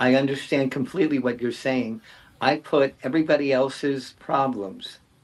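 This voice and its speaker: A man with a normal speaking voice, medium in pitch, at a moderate pace and with fairly even intonation. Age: 60s. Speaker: writer. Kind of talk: panel discussion.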